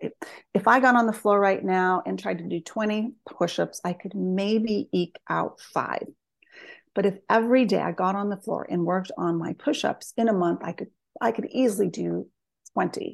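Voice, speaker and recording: At a moderate pace and with ordinary pitch variation, this is an ordinary speaking voice with an American accent. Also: woman, medium pitch for a woman, quiet background. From US Southwest, northern New Mexico. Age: 50s. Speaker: psychotherapist and author. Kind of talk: interview conversation.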